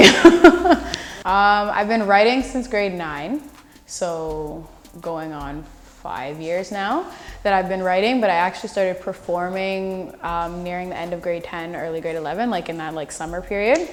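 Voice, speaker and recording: A woman with an unremarkable speaking voice talks at a fairly slow pace and a medium pitch. Her pitch varies in an ordinary way, while her loudness swings widely. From Canada. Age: young. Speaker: spoken word poet. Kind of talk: interview answer. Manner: casual, conversational.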